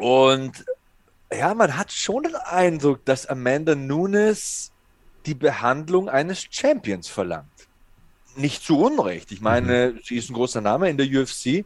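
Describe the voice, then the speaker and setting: Very wide pitch swings at a very slow pace. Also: man, fairly high pitch for a man. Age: 40s. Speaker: MMA podcast host. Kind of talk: casual chat.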